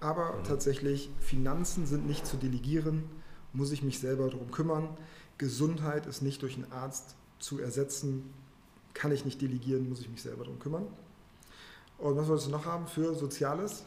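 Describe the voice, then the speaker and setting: A man's fairly high voice at a moderate pace, with long, frequent pauses and audible room echo. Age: middle-aged. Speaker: finance professional. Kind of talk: interview conversation.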